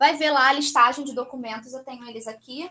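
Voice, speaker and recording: Raising and projecting her voice, a woman speaks high in pitch with a bright, sharp tone and lively intonation. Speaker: aesthetic pharmacist. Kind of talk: lecture. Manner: fast.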